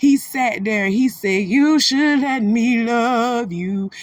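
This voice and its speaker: The woman's pitch sits fairly high. Her tone is animated. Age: 30s. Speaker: celebrity gossip commentator. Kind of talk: commentary on a replayed livestream clip.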